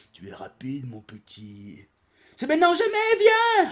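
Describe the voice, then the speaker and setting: At a moderate pace, a man speaks in a put-on character voice pitched extremely high. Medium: read story. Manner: gruff, bullying.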